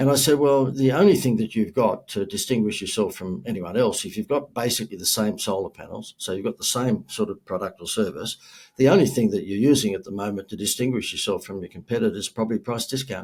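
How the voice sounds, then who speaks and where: Very fast male speech with hardly any pauses. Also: medium pitch for a man, lively intonation. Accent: Australian. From Australia, Gold Coast. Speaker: marketing speaker and entrepreneur. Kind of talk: podcast interview.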